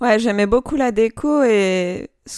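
Pitch rises and falls in an ordinary way. The tone is dark and mellow. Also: woman, very clean recording, silent background. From Algeria (Algiers). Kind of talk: interview. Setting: home workshop.

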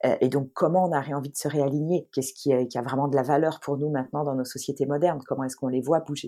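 Speaking at a very fast pace with hardly any pauses, a woman with a very deep, low pitch and a dark, mellow tone comes through on a very clean recording with a silent background. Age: 40s. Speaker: astrologer. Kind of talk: interview. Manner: animated.

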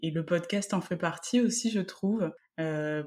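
On a very clean recording with a silent background, a woman speaks with a fairly low pitch, a dark, mellow tone and ordinary pitch variation. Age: 20s. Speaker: podcaster and psychomotor therapist. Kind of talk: casual interview. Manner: hesitant, many fillers.

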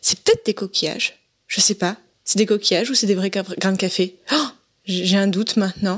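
Somewhat breathy and medium in pitch, a woman speaks at a moderate pace with fairly even intonation in a very clean recording with a silent background. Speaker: podcaster and listener. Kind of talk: recorded voice message. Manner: hesitant.

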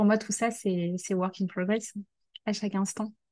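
Against a quiet background, a dark, mellow tone moves at a fairly slow pace with fairly even intonation. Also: woman. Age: 20s. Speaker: career change coach. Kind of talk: interview conversation.

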